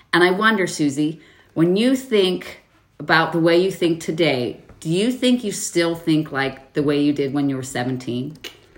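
A woman speaks in a fairly low pitch at a moderate pace. Her tone is animated and her intonation lively. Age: 40s. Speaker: podcast host. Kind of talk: casual chat.

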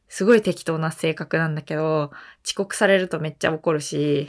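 An unremarkable speaking voice from a woman, fairly low-pitched, moderate in pace, with ordinary pitch variation. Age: 20s. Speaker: podcast co-host. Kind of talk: casual chat. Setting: remote recording over video call.

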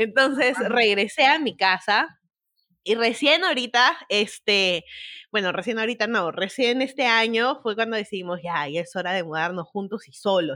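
Her bright, sharp tone and lively intonation stand out as this woman speaks at a fairly slow pace in a very clean recording with a silent background. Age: 20s. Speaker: TikToker. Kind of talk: casual chat.

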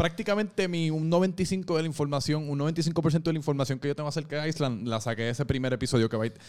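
With a Puerto Rican accent, a man rattles along at a very fast pace with hardly any pauses, his fairly high pitch showing ordinary variation. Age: 20s. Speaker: podcast host. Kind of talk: casual chat.

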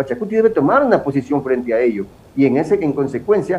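A man talks at a very fast pace in a fairly high pitch. His voice moves through very wide pitch swings. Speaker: politician. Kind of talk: interview. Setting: video call.

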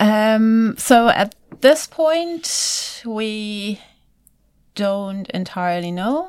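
With a German accent, a woman talks very slowly at a fairly high pitch. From Germany. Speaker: virologist. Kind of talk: interview.

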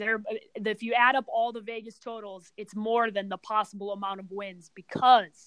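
A woman with an American accent, fairly high in pitch, animated in tone, at a moderate pace, in a dry, close sound with no echo and a quiet background. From Chicago, US Midwest. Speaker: sports podcast host. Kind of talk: casual chat.

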